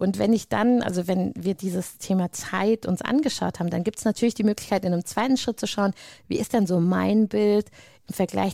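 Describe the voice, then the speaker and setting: In a very clean recording with a silent background and a dry, close sound with no echo, a woman speaks at a moderate pace, her dark, mellow voice medium in pitch with ordinary pitch variation. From Hesse, Frankfurt area. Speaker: coach for mothers. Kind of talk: interview.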